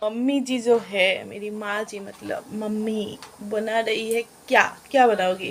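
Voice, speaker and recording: With an Assamese accent, a woman speaks at a fairly high pitch with hardly any pauses, her intonation monotone and flat but her loudness swinging widely, against noticeable background noise. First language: Assamese (speaking Hindi). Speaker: vlogger. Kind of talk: casual home vlog. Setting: at home. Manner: halting, self-correcting Hindi.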